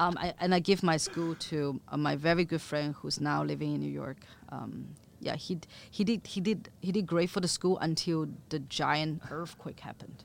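A woman with a Chinese accent speaks at a very deep, low pitch with fairly even intonation. The recording is very clean, with a silent background. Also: moderate pace. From Chengdu, China. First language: Mandarin Chinese. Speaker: chef and restaurant owner. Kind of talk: interview.

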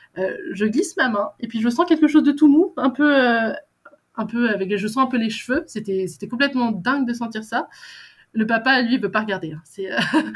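Lively intonation at a moderate pace. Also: woman, fairly high pitch for a woman. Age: 20s. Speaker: mother sharing birth story. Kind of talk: testimony. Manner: halting.

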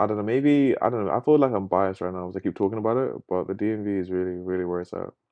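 With a southern English accent, a man speaks at a fairly low pitch and with ordinary pitch variation. His pace is very fast, with hardly any pauses. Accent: English, southern England. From England, Luton. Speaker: photographer. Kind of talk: casual chat. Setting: home recording.

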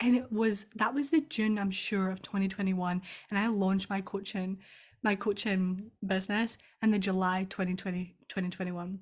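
In a strong Scottish accent, a woman speaks at a fairly slow pace with medium pitch and fairly even intonation. Her voice is somewhat breathy, and the recording is very clean with a silent background. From Scotland. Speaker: EFT tapping practitioner and business coach. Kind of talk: casual interview chat.

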